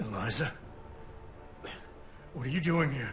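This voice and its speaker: Against clear background noise, a man puts on a raspy character voice, fairly high in pitch, at a moderate pace. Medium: video game.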